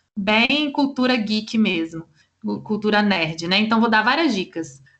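A woman's fairly high-pitched voice at a fairly slow pace, a normal speaking voice. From Brazil, Vitória, Espírito Santo. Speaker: law professor. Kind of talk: interview.

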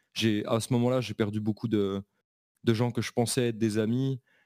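A man with a plain, everyday voice speaks at a medium pitch and moderate pace with fairly even intonation. The sound is dry and close with no echo, on a very clean recording with a silent background. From eastern France, Belfort. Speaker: American football coach. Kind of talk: casual interview.

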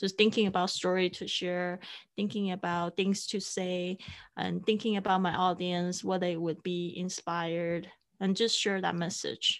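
A woman with a Mandarin accent speaks at a fairly slow pace in a monotone, flat intonation. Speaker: podcasting coach and producer. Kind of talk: interview. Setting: remote call. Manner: halting.

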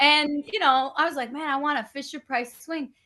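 A woman projects her voice loudly with an American accent. Her pitch is high and her tone bright and sharp. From Bronx, New York. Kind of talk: casual interview chat.

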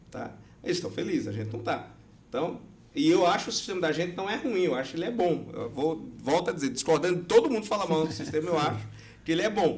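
The speech is very fast with lively intonation. Room echo is audible. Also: man, high pitch for a man. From Brazilian Northeast. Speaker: election lawyer and law professor. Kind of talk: podcast interview.

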